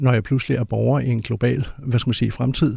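Recorded very cleanly against a silent background, a man speaks at medium pitch and a moderate pace, with ordinary pitch variation and vocal fry. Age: 50s. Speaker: author and climate researcher. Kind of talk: interview.

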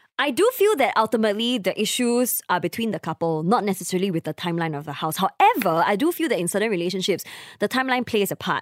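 A woman with a Singaporean accent at medium pitch, talking at a very fast pace with lively intonation and hardly any pauses, in a dry, close sound with no echo. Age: 20s. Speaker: podcast co-host. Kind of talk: casual chat.

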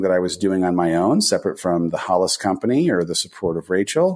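Against a quiet background, a man with an American accent lets his pitch swing very widely. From Southern California. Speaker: author, former entertainment executive. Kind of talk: interview.

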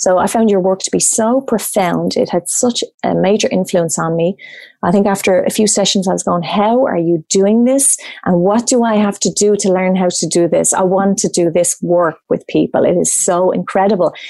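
With a dark, mellow tone, a woman speaks at medium pitch and a moderate pace. Her loudness is very even, her pitch varies in an ordinary way, and the background is quiet. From Ireland. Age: 40s. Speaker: coach and facilitator. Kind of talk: casual interview chat.

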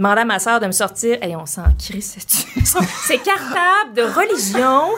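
The speaker has a Quebec accent and very wide pitch swings. Music plays in the background. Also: woman. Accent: Québécois French. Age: 40s. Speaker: comedian. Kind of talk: casual chat. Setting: studio.

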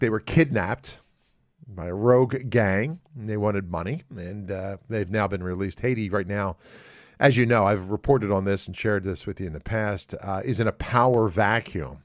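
A normal speaking voice with an American accent, fairly quick and lively in intonation, on a very clean recording with a silent background. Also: man. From United States. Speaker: radio talk show host. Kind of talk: casual talk radio.

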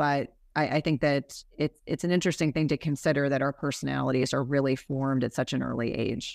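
A woman with an American accent and a very deep, low pitch with vocal fry talks at a fairly quick pace with hardly any pauses, fairly even intonation and very even loudness, in a very clean, silent recording with a dry, close sound and no echo. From US Northeast (New Jersey). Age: 50s. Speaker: nurse practitioner and health podcast host. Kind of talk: casual interview chat.

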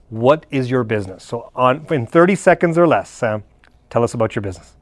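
With lively intonation and a fairly quick pace, a man talks in an unremarkable speaking voice. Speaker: podcast host. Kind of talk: interview. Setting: studio.

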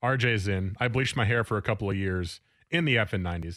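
Recorded very cleanly against a silent background, a man with a plain, everyday voice speaks at a fairly quick pace, fairly low in pitch with ordinary pitch variation. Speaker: sports radio host. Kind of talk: casual chat. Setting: studio.

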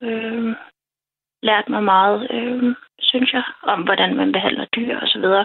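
Very slowly and at a fairly high pitch, a woman speaks with ordinary pitch variation. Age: 30s. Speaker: early retiree with PTSD, dream guest. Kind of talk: personal testimony in interview. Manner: halting, many fillers.

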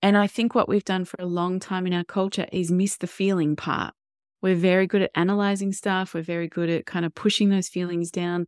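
In an Australian accent, a woman of medium pitch speaks at a fairly quick pace with fairly even intonation, the sound dry and close with no echo on a very clean recording with a silent background. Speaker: parenting educator and former doula. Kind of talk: interview.

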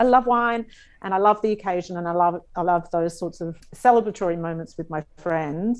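A woman with an Australian accent speaks with ordinary pitch variation against a quiet background. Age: 40s. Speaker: comedian and radio host. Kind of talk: casual interview chat. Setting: video call.

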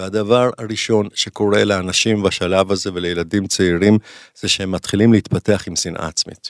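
A man's fairly low voice, monotone and flat, at a moderate pace, with a dry, close sound with no echo and a very clean recording, silent background. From Israel, Jerusalem. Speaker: clinical psychologist. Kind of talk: casual interview chat.

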